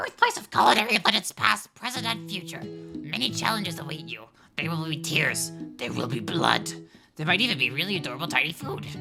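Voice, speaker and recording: Someone uses a put-on character voice at a middle pitch and a fairly quick pace. Faint music sits in the background. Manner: trailer narration, dramatic.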